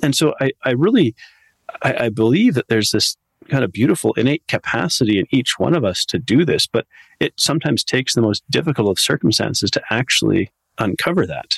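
At a fairly quick pace, a man with a medium pitch and a plain, everyday voice uses lively intonation. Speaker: nutrition coach and podcaster. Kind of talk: casual interview, personal storytelling.

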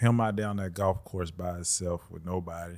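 A man's very deep, low voice in an Alabama accent, monotone and flat at a moderate pace, on a very clean recording with a silent background. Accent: Southern US (Alabama). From US South, Birmingham, Alabama. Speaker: former basketball player. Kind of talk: casual chat.

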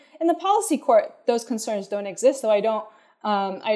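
A woman with an American accent speaks at a medium pitch with lively intonation and a dark, mellow tone, recorded very cleanly against a silent background. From country without jury trials, outside US/UK. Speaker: political theory professor. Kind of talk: interview. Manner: halting, many fillers and repeats.

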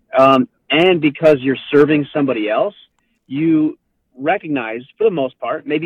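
A man with an American accent speaks at a moderate pace in an unremarkable speaking voice, with fairly high pitch and ordinary pitch variation. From Southern California and southern Utah. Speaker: author and men's coach, military veteran. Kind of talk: interview conversation. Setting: phone call.

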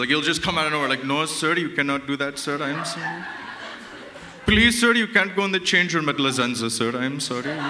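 Over noticeable background noise, a man with a fairly high pitch speaks at a fairly quick pace with lively intonation. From Canada. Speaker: comedian. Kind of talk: stand-up. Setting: stage with audience. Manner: casual, filler-heavy.

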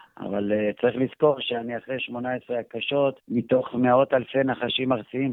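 With fairly even intonation, a man at a medium pitch speaks at a fairly slow pace. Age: adult. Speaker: reptile and snake expert. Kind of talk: interview. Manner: hesitant with fillers.

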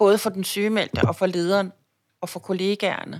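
An ordinary speaking voice, a woman's medium pitch carries fairly even intonation at a moderate pace on a very clean recording with a silent background. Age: 50s. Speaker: labour market policy consultant, cancer survivor. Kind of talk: interview about personal illness. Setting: office lunchroom.

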